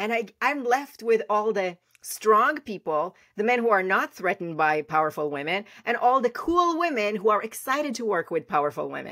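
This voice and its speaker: A woman's fairly high voice with very wide pitch swings at a moderate pace, in a dry, close sound with no echo. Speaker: branding strategist and CEO. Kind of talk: interview. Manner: loud; energetic.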